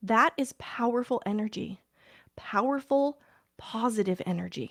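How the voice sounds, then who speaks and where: A woman's fairly high, normal speaking voice with ordinary pitch variation at a fairly slow pace, dry and close with no echo, on a very clean recording with a silent background. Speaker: parent, podcast host. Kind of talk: casual podcast talk to listeners. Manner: warm, heartfelt.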